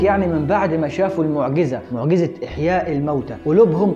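A man's lively intonation over clear music in the background. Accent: Egyptian. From Egypt. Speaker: Islamic scholar, Quran explainer. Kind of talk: casual religious explainer talk to camera. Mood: playful, teasing at times. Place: studio. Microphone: lapel.

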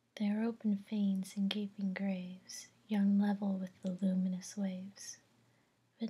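Soft-spoken and somewhat breathy, a woman talks in a dark, mellow tone with monotone, flat intonation. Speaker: vlogger. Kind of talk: poetry reading, casual vlog chat. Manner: soft-spoken, hushed poetry reading. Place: home room. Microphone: webcam.

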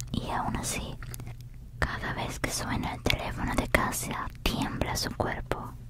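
Whispering over noticeable background noise. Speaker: ASMR creator. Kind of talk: ASMR whispered book reading. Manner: whispered, soft-spoken.

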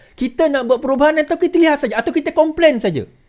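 A man with a Malaysian accent against a quiet background. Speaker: political commentator. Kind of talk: political commentary monologue to camera. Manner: informal, rambling, self-correcting. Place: home room. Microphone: studio mic.

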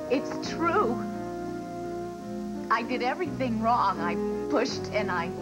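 The speech moves at a fairly slow pace over loud music in the background. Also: woman. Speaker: soap opera actress playing a mother. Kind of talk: drama dialogue. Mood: emotional, tender confession. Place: stage.

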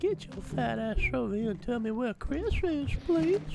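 A man's put-on character voice at a moderate pace, with clear background noise. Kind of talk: comic voice impression. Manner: creepy, insulting, fake-polite.

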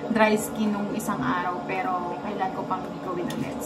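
A woman is talking. There is noticeable background noise. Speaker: vlogger. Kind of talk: casual vlog chat. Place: bathroom. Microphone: phone near.

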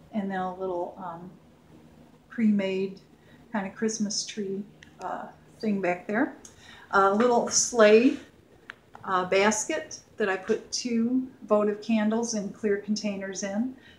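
Over noticeable background noise, a woman with a medium pitch talks at a very slow pace, using long, frequent pauses and fairly even intonation. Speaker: home decor vlogger. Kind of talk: show-and-tell home tour. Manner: casual, hesitant with fillers.

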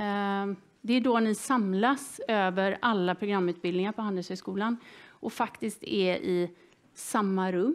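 A woman talks fairly slowly, her pitch varying an ordinary amount. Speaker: seminar moderator. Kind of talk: event introduction to audience. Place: hall.

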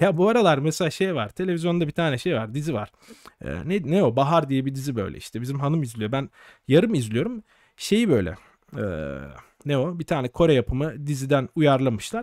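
Over a quiet background with a dry sound and no echo, a man speaks at a fairly quick pace in a fairly high pitch, his intonation lively. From Turkey. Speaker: doctor and exam-prep educator; exam-prep educator. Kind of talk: live stream monologue. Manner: casual, conversational. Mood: relaxed, joking. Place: home room. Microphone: studio mic.

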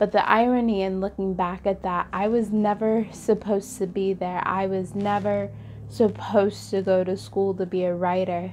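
A woman speaks in a flat monotone at a moderate pace. Light background noise is present. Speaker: poet. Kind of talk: casual talk to camera. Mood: reflective, expressive. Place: home room. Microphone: lapel.

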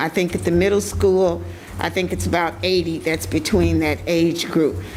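Moderate in pace, a woman speaks. Noticeable background noise can be heard. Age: 60s. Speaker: school board member. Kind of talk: public meeting remarks. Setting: school board meeting.

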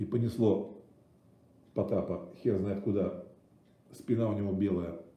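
A man's voice has a dark, mellow tone and is somewhat breathy. He speaks at a fairly slow pace, with audible room echo. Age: 50s. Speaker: streamer. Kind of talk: casual livestream monologue. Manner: animated. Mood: irritated, crude. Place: kitchen. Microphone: webcam.

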